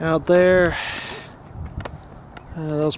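A man with an American accent is heard over noticeable background noise, in a dry sound with no echo. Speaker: hiker filming the view. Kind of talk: casual talk to camera. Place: open country. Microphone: phone near.

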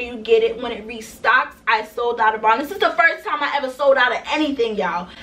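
Projecting a raised voice, a woman speaks at a fairly quick pace with ordinary pitch variation. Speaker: small business owner vlogger. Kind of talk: casual vlog chat. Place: home room.

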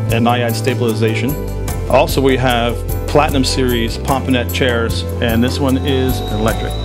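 Clear music plays in the background as a man talks at a moderate pace. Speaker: yacht sales partner. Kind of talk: interview answer. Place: boat. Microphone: handheld.

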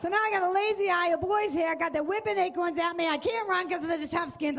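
A woman with an American accent talks at a very fast pace in an animated tone against a quiet background. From Boston area, US Northeast. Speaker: stand-up comedian. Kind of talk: stand-up. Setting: stage with audience. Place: stage. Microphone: handheld.

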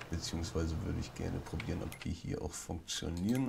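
A man speaks quietly with ordinary pitch variation. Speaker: gaming YouTuber. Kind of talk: let's play commentary. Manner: hesitant.

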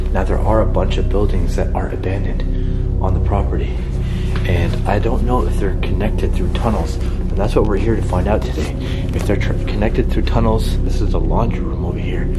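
Music plays in the background. The speech moves at a fairly quick pace. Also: man. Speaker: urban explorer vlogger. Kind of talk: casual vlog chat. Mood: hushed, curious. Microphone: phone near.

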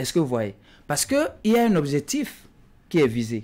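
Moderate-paced speech from a man, fairly high in pitch, lively in intonation. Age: young. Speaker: politician. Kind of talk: political talk show debate. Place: studio.

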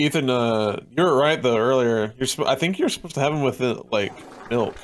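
A man's normal speaking voice at medium pitch, with ordinary pitch variation and a moderate pace. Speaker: stream collaborator. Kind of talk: casual chat.

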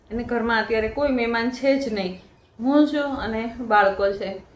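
A woman with a fairly high pitch speaks amid noticeable background noise and audible room echo. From Saurashtra, Gujarat. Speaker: family vlogger. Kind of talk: vlog narration.

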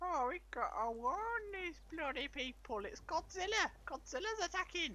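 Against clear background noise, a man uses a put-on character voice pitched extremely high. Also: moderate pace. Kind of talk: comic put-on character voice. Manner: exasperated, cranky, shouting.

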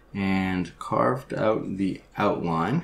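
A soft-spoken man with a fairly low pitch, at a very slow pace. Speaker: woodcarver. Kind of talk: tutorial talk.

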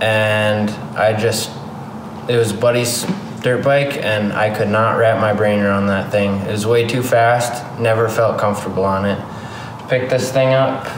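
Speaking fairly slowly in a monotone, flat way, a man is heard over noticeable background noise. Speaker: dirt bike vlogger. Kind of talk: casual vlog chat. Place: garage. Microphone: phone near.

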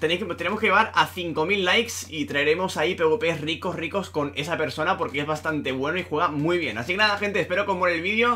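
A man's high voice at a very fast pace, with hardly any pauses and ordinary pitch variation. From Spain. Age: 20s. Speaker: gaming YouTuber. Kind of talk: gameplay commentary; video intro to viewers. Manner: animated. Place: home room. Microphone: webcam.

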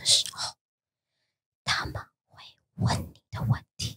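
A woman whispers at a very slow pace. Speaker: podcast co-host. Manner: whispered.

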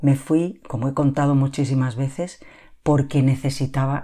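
A very deep, low-pitched woman's voice with a dark, mellow tone, at a fairly slow pace on a very clean recording with a silent background. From Spain, Barcelona periphery. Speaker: lifestyle podcaster. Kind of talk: solo podcast monologue.

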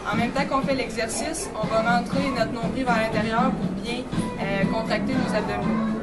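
A woman at a moderate pace with loud music in the background. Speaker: kinesiologist instructor. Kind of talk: tutorial. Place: gym. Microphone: camera far.

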